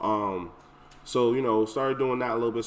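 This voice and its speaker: Mumbling at a very fast pace, a man speaks. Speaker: event planner. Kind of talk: casual chat.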